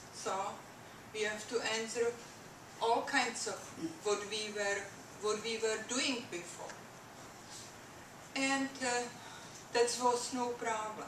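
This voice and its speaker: With a Czech accent, a woman speaks very slowly in a fairly high pitch and fairly even intonation, leaving long, frequent pauses amid audible room echo and noticeable background noise. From Czechoslovakia. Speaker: immigrant speaker. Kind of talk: public talk. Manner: halting.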